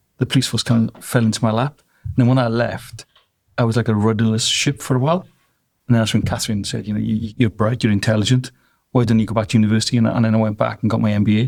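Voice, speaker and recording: Speaking with a Welsh accent, a man talks at a very fast pace. His medium pitch stays in a fairly even intonation. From South Wales. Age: 60s. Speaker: drinks business owner. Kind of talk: interview.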